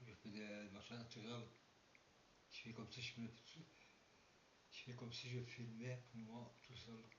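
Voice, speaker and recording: A man speaks at a medium pitch and a fairly slow pace, in a flat monotone. Long, frequent pauses break up his speech, and the room echo is audible. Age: 60s. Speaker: paranormal and urbex youtuber. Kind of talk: casual vlog monologue. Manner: halting. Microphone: poor sound quality.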